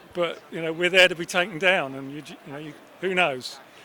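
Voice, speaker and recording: Speaking with a southern English accent, a man with high pitch talks at a fairly quick pace with ordinary pitch variation. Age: 60s. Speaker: football fan. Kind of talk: interview.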